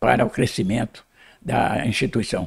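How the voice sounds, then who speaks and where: A man speaking at a moderate pace with vocal fry. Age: 80s+. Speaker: cooperative founder, retired public prosecutor. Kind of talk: interview. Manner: halting, many repetitions.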